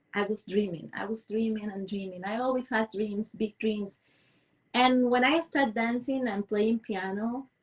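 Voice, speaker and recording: Fairly high, somewhat breathy tones from a woman with a Cuban accent and fairly even intonation. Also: moderate pace. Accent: Cuban Spanish, rural small-town. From Cuba, rural Villa Clara. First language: Spanish. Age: 40s. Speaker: dance and movement coach. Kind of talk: interview. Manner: halting, with repetitions and fillers.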